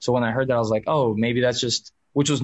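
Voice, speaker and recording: With an American accent, a man uses an ordinary speaking voice at a medium pitch and with fairly even intonation. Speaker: actor. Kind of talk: interview.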